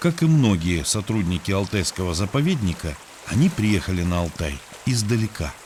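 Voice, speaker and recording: The man's pitch sits fairly low but swings very widely. He keeps a moderate pace. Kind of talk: documentary narration.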